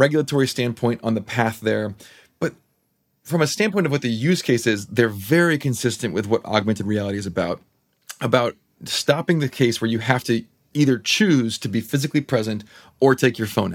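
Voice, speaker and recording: Lively intonation marks this man's unremarkable speaking voice. He speaks at a fairly quick pace and a medium pitch. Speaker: podcast host and tech executive. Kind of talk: casual interview conversation. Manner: informal, filler words, conversational.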